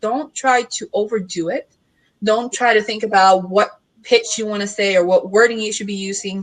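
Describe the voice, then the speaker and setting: With a Puerto Rican accent, a woman speaks at a fairly high pitch with fairly even intonation and big swings in loudness. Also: moderate pace. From Puerto Rico. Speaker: marketing consultant. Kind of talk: casual panel discussion. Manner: direct.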